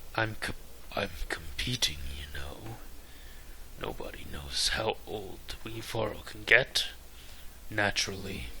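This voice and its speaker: A man whispers in a put-on character voice at a fairly slow pace, with long, frequent pauses. Clear background noise can be heard. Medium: solo performance.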